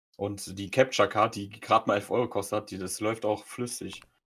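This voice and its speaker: In a very clean recording with a silent background, a man speaks in a flat monotone at a moderate pace and medium pitch. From Germany, Polish parents. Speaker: podcast co-host and streamer. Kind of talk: casual chat.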